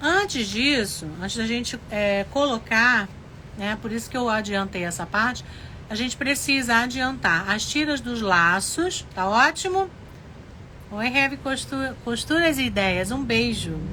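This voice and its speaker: A woman talks at a fairly slow pace with a fairly high pitch and lively intonation. Audible room echo surrounds her voice. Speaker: sewing teacher, craft studio owner. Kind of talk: live sewing tutorial.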